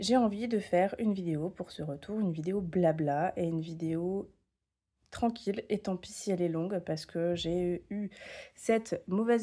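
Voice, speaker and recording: In a very clean recording with a silent background, a woman's dark, mellow voice sits at medium pitch with ordinary pitch variation. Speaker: tarot content creator. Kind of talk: casual vlog talk. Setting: home, camera on tripod. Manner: hesitant, many fillers.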